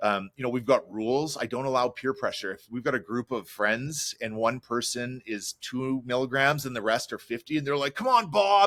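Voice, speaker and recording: A normal speaking voice from a man with a Canadian accent, medium in pitch, at a moderate pace with hardly any pauses, in a dry, close sound with no echo, on a very clean recording with a silent background. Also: ordinary pitch variation. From Canada. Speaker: chef. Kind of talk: interview.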